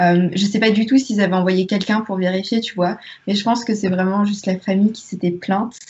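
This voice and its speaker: A woman talks at a fairly quick pace in a medium pitch, somewhat breathy. Her intonation is monotone and flat. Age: 20s. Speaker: history student and book youtuber. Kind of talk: casual chat.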